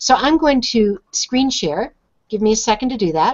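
A woman's fairly high voice with ordinary pitch variation, over a quiet background. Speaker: show host. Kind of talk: tutorial. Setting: video call. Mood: friendly, upbeat. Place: home room. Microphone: video call.

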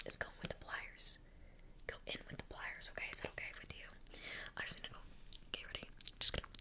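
Over loud background noise, a woman speaks at a very fast pace. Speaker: role-play content creator. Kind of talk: role-play chat addressed to viewer. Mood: playful, mock apologetic. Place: home room. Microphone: earbuds.

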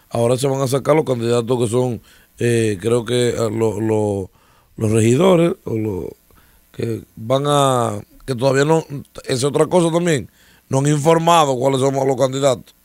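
A man talks at a medium pitch and a fairly slow pace with ordinary pitch variation. The sound is dry with no echo over a quiet background. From Dominican Republic. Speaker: political commentator. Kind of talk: casual political discussion. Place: studio. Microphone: studio mic.

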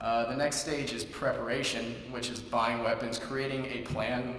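Against light background noise and audible room echo, a man with an American accent speaks at a moderate pace in a flat monotone. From California. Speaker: student contestant. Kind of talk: persuasive speech. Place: hall. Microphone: podium.

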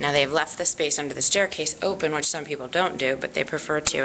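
Noticeable background noise accompanies a woman's voice. She has a very deep, low pitch and a fairly quick pace. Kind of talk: property tour narration. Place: home room. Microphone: phone near.

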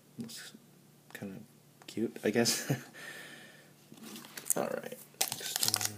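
Very slow speech broken by long, frequent pauses, over noticeable background noise. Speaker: college student. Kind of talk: casual talk to camera. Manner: excited.

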